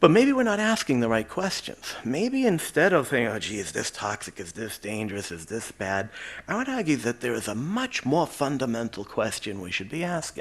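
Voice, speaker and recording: Against a quiet background, a man with a Boston accent speaks at a fairly quick pace, with vocal fry and very wide pitch swings. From Quincy, Massachusetts (Boston area). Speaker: chemistry professor. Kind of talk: lecture. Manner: conversational.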